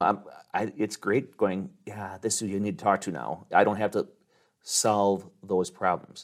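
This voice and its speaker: In a very clean recording with a silent background, a man speaks at a moderate pace in an unremarkable speaking voice. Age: 50s. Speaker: insurance agency owner. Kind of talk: interview. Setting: on location.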